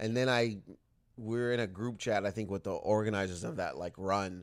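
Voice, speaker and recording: Ordinary pitch variation at a moderate pace, on a very clean recording with a silent background. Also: man. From Windsor, Ontario, Canada. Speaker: comedian. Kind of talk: casual chat. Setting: home theater room. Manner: distinctive stand-up cadence.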